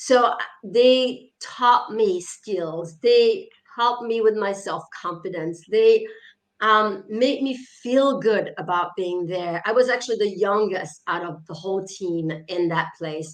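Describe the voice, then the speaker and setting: A woman speaks very slowly, her pitch varying by usual amounts. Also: medium pitch for a woman. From France, small mountain town. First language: French. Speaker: author and leadership coach. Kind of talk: interview. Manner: hesitant with fillers.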